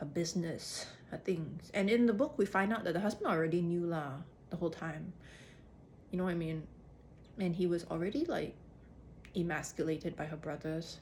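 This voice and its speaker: A somewhat breathy woman with an American accent speaks at a fairly quick pace, using ordinary pitch variation and long, frequent pauses. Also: fairly low pitch for a woman. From Singapore. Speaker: actor and vlogger. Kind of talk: casual monologue. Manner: animated, with self-corrections and restarts.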